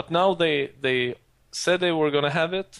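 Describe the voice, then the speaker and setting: Someone with a Swedish accent speaks at a moderate pace with ordinary pitch variation. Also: man. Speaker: podcast host. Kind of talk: casual chat. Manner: halting.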